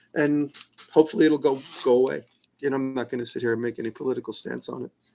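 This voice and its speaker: Speaking at a very fast pace with a New York accent, a man keeps a medium pitch and ordinary pitch variation. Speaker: maker answering viewer questions. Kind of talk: live stream Q&A. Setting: live stream, alone. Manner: casual, with many fillers and restarts.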